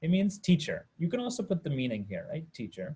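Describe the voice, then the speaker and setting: A man's somewhat breathy voice has a dark, mellow tone and very wide pitch swings. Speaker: Sanskrit teacher. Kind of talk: online class lecture.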